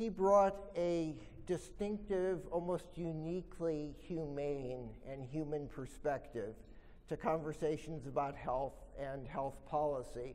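A man talks at a very slow pace in a dark, mellow tone. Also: ordinary pitch variation. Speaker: professor giving a talk. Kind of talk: lecture. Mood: solemn tribute then expository. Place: hall. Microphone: podium.

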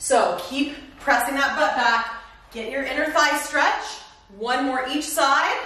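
In an American accent, a woman speaks with a high pitch at a very slow pace. Her voice is raised and projected, and room echo is audible. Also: ordinary pitch variation. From California. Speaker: fitness instructor. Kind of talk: guided workout instruction, cueing exercises over the routine. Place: home room.

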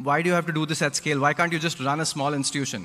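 A man's fairly high voice in a bright, sharp tone at a very fast pace. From India. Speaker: nonprofit founder; guest. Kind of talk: public talk. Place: hall. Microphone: podium.

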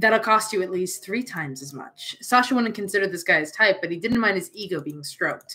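An unforced reading voice rises and falls with ordinary pitch variation.

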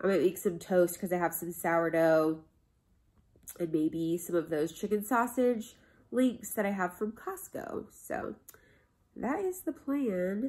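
Long, frequent pauses mark a woman's fairly slow speech. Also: quiet background. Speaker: vlogger. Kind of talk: casual vlog chat. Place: home room. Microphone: phone near.

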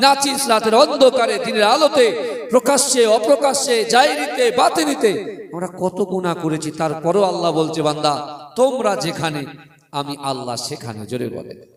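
The voice has very wide pitch swings and big swings in loudness. Noticeable background noise runs underneath. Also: man, high pitch for a man. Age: 30s. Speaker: Islamic preacher. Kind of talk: sermon.

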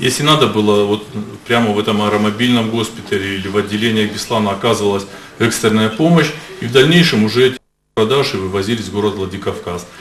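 Speaking very fast at a fairly low pitch with ordinary pitch variation, a man is heard with audible room echo and light background noise. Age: 60s. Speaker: medical official testifying as witness; witness. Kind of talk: court testimony. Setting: courtroom. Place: hall. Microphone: podium.

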